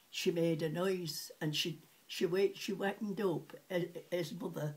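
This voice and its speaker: Her voice is somewhat breathy and fairly low for a woman, with ordinary pitch variation. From Sheffield, England. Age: 80s+. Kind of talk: interview answer.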